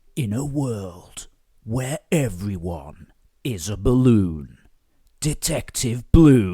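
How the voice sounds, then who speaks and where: The man puts on a character voice, pitched at a medium level and delivered at a very slow pace. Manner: dramatic.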